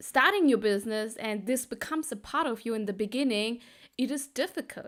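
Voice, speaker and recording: In a non-native accent, the speaker uses ordinary pitch variation on a very clean recording with a silent background. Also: woman. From Sri Lankan Tamil heritage, raised in Germany. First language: Tamil. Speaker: business coach. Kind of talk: casual talk to camera.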